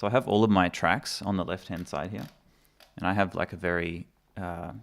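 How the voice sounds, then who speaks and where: In an Australian accent, a speaker talks at a moderate pace with ordinary pitch variation on a very clean recording with a silent background. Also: man, very deep, low pitch for a man. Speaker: musician and mixing engineer. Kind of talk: live stream tutorial. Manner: casual, hesitant with many fillers.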